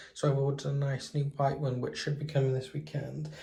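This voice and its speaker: A man with a British accent speaks in a monotone, flat way at a fairly high pitch. His tone is dark and mellow and somewhat breathy. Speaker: lifestyle vlogger. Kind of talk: casual vlog talk.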